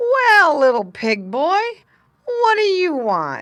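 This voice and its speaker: A put-on character voice that sounds female moves at a very slow pace, at an extremely high pitch for a woman, with very wide pitch swings. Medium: read story.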